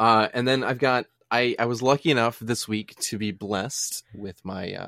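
A man with a bright, sharp, playful tone speaks at a moderate pace. The recording is very clean and silent in the background, with a dry, close sound and no echo. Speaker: podcast co-host. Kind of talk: casual chat. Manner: joking, playful.

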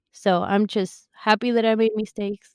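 A woman with a Spanish accent, moderate pace and monotone, flat intonation, in a very clean recording with a silent background and a dry, close sound without echo. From Argentina. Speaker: podcast co-host, online sales counselor. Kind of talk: casual chat.

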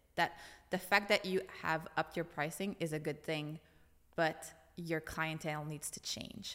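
With a Franco-Ontarian accent, a woman with a very deep, low pitch and a bright, sharp tone speaks at a moderate pace with fairly even intonation and long, frequent pauses. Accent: Franco-Ontarian Canadian English. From eastern Ontario, Franco-Ontarian small town. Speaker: brand designer. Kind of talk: casual interview chat. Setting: studio.

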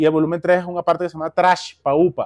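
This man speaks with a Caracas Venezuelan accent at a fairly quick pace. The sound is dry and close, with no echo. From Caracas, Venezuela (El Valle). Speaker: musician and producer. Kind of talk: casual chat. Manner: animated.

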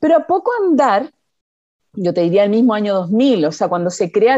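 Very wide pitch swings in a dark, mellow tone from a woman. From Chile. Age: 50s. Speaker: biotechnology research executive. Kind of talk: interview.

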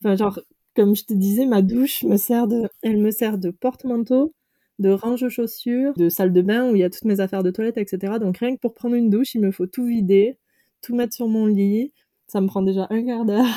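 Fairly quick and with fairly even intonation, a woman's voice comes through dry and close with no echo, on a very clean recording with a silent background. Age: 30s. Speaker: nurse turned van-life traveller. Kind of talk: interview. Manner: hesitant, many fillers.

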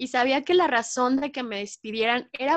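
A high-pitched woman at a moderate pace, with ordinary pitch variation and a dry, close sound with no echo over a quiet background. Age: 20s. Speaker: journalist and photojournalist. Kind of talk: interview. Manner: animated.

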